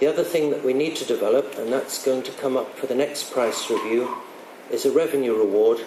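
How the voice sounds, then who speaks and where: Recorded with audible room echo and noticeable background noise, a man speaks. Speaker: water industry manager. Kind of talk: conference talk.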